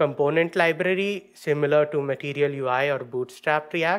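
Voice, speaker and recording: A man speaks fairly slowly with rather level intonation while the background stays quiet. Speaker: conference presenter. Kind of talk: technical talk. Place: stage. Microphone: podium.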